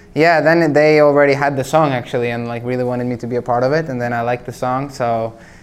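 With a Norwegian accent, a man speaks very fast at a medium pitch, his intonation fairly even and his pauses few. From Norway. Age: 20s. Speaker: singer-songwriter. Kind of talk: casual chat.

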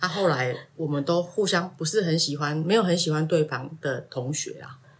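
A woman talks at a moderate pace with a very deep, low pitch and fairly even intonation over noticeable background noise. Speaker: parent of student. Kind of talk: interview.

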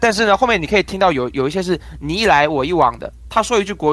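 A man talks at a very fast pace, his voice showing vocal fry and his intonation lively. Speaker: crosstalk comedian. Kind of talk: interview.

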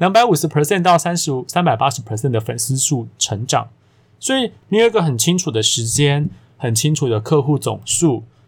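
On a very clean recording with a silent background, a somewhat breathy man with a Taiwanese accent talks at a fairly quick pace with lively intonation. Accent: Taiwanese Mandarin. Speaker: podcast host, career coach. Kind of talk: solo podcast monologue. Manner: casual, filler-heavy.

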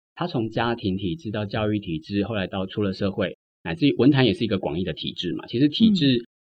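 A man's fairly quick, lively delivery in a plain, everyday voice, pitched fairly low. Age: 30s. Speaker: writer. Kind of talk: interview conversation.

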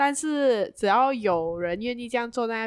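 The recording is very clean and the background silent. A woman talks with lively intonation. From Malaysia, Penang. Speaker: podcast co-host. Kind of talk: casual chat. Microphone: new microphone.

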